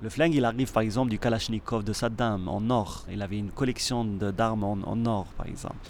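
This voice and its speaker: Fairly even intonation from a man, medium in pitch and fairly quick in pace. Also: hardly any pauses. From Morocco. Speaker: performing and visual artist. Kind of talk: interview. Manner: halting, frequent repetitions.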